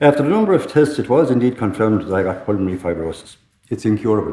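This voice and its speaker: A man talks at a very fast pace with an Irish accent. His pitch is fairly low with ordinary pitch variation. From Ireland, Tipperary. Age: 60s. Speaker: lung transplant recipient. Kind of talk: testimony.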